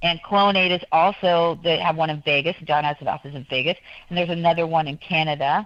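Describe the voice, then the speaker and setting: Very fast speech with fairly even intonation comes through. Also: woman, fairly low pitch for a woman. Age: 60s. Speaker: guest. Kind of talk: talk show interview. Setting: studio.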